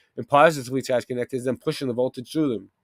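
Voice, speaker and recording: On a very clean recording with a silent background and a dry, close sound with no echo, a man with a Boston accent and medium pitch speaks in an animated tone. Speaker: live stream host. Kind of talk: casual live stream talk, partly reading aloud.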